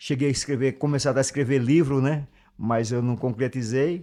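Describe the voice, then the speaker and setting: A man with a normal speaking voice talks at a moderate pace and a fairly high pitch. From Brazil, Alagoas (Northeast). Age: 50s. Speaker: musician and songwriter. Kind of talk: interview conversation.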